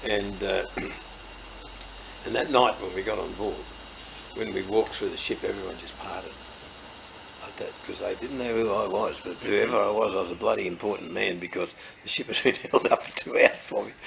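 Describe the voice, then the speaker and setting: A man with a strong Australian accent, fairly quick pace, long and frequent pauses, big swings in loudness, and noticeable background noise. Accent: broad Australian. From Australia, rural New South Wales (Leeton). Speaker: farmer and agricultural trade representative. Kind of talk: storytelling interview.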